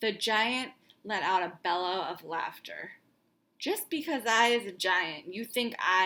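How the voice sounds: Text is read out in a natural reading voice.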